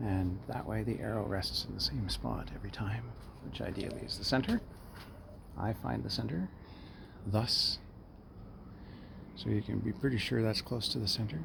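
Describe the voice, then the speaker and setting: Quiet and fairly low in pitch, a man speaks with very wide pitch swings and long, frequent pauses. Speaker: hobbyist bow maker. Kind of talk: casual vlog. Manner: halting.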